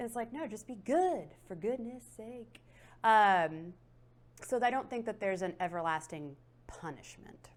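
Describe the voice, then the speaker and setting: A woman's fairly slow speech with very wide pitch swings and big swings in loudness, on a very clean recording with a silent background. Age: 30s. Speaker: tarot reader. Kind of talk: interview. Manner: casual, conversational with fillers.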